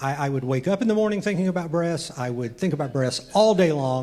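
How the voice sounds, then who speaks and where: Noticeable background noise and audible room echo surround this recording. A man talks with a high pitch and lively intonation. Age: 60s. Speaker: amateur stand-up comedian. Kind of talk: stand-up. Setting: comedy club stage with audience. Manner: halting, many fillers and repeats.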